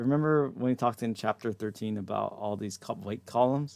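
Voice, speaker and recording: Recorded very cleanly with a silent background, a man has an unremarkable speaking voice at medium pitch with ordinary pitch variation. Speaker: anatomy and physiology instructor. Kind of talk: lecture. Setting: live stream with chat.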